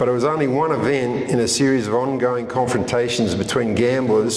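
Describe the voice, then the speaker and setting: Over noticeable background noise and audible room echo, a man with an Australian accent speaks at medium pitch. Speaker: history author. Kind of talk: history talk to a live audience. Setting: stage with audience at a history event.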